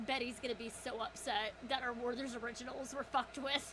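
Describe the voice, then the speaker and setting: Loud background noise surrounds a woman doing a put-on character voice. She talks at a high pitch and a fairly quick pace. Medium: actual play.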